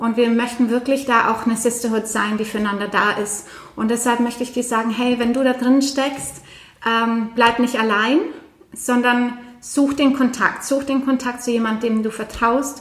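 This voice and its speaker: There is noticeable background noise as a woman speaks at a moderate pace. Her high voice stays monotone and flat. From Norway. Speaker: podcast host. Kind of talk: casual chat.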